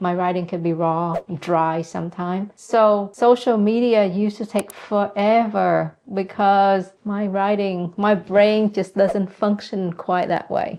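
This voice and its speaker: With a non-native accent, a woman speaks at a fairly slow pace with hardly any pauses, a medium pitch and fairly even intonation. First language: not English. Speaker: real estate investor and channel host. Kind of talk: casual tutorial to camera. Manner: direct.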